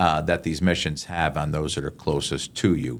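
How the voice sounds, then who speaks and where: On a very clean recording with a silent background, a man speaks with vocal fry and ordinary pitch variation. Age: 60s. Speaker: chaplain and podcast host. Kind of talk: podcast interview, teaching points. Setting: podcast recording. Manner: animated.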